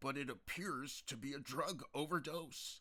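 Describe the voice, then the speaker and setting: Using a put-on character voice, a man speaks at a moderate pace with a fairly high pitch and ordinary pitch variation. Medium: read story. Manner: brusque.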